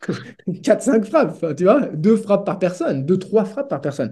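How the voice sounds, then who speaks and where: A man speaks against a quiet background. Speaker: tennis statistics analyst. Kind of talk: casual interview with detailed stats analysis. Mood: relaxed, animated. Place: home room.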